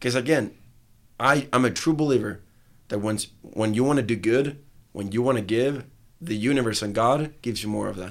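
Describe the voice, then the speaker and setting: A man of medium pitch talks at a moderate pace with ordinary pitch variation and long, frequent pauses. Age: 20s. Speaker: athlete and entrepreneur, event organizer. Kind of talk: casual interview. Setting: studio.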